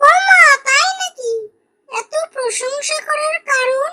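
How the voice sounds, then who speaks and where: In a cartoonish character voice, a woman speaks squeaky and extremely high, with lively intonation at a fairly slow pace. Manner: coarse, mocking.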